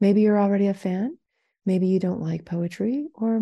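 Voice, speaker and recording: A somewhat breathy woman's voice at medium pitch, moderate pace and fairly even intonation, dry and close with no echo against a quiet background. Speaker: podcast host reading poem. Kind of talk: poem reading, scripted intro and outro.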